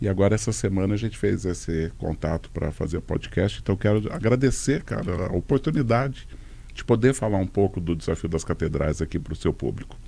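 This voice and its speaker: Fairly low-pitched male voice, dark and mellow in tone, with vocal fry, lively intonation and a fairly quick pace. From Londrina, Paraná, Brazil. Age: 60s. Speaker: walking event organizer. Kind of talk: casual chat.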